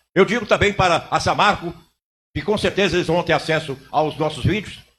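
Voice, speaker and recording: A man's voice sits high in pitch as he moves along at a fairly quick pace. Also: ordinary pitch variation. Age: 70s. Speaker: city councillor. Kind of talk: council chamber speech. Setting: city council chamber with audience. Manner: impassioned, oratorical.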